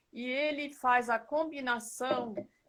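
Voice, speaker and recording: Her bright, sharp, high-pitched voice carries as the woman speaks at a very slow pace. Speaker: live chat host. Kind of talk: casual chat. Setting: live stream. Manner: soft-spoken; halting.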